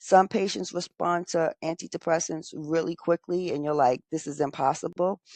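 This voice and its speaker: In a normal speaking voice, a woman talks over a quiet background, with a dry, close sound and no echo. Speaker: nursing educator. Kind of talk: lecture.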